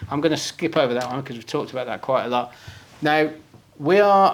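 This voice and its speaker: This man speaks with a Birmingham accent. His pace is fairly quick. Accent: Brummie. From Birmingham, England. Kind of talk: conference presentation with live demo. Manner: casual, conversational.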